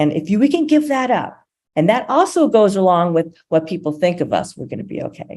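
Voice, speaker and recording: With very wide pitch swings, a woman speaks fairly quickly at a medium pitch in a dark, mellow tone. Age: 60s. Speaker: motivational speaker and storyteller. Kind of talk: inspirational talk. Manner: animated.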